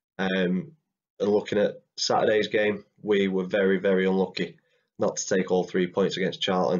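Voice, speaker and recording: In an English accent, a man speaks at a moderate pace with a fairly low pitch, a flat monotone and very even loudness. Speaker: football fan vlogger. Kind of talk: casual match preview talk to camera.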